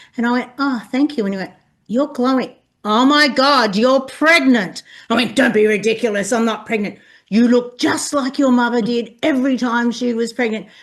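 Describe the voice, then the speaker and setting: A moderate-paced, high-pitched female voice with ordinary pitch variation. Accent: Australian. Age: 60s. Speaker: birth mother sharing lived experience. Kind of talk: personal testimony in conversation.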